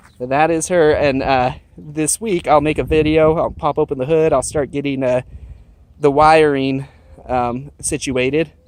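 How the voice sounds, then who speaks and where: A man with a fairly high pitch keeps a moderate pace and fairly even intonation while noticeable background noise carries on behind him. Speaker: car hobbyist vlogger. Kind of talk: casual vlog walkaround. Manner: mumbling, self-correcting; stuttering, halting.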